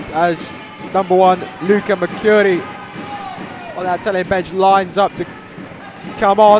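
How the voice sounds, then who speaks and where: Long, frequent pauses break up the speech amid noticeable background noise. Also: moderate pace. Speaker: co-commentator. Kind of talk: live commentary. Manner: loud, near yelling.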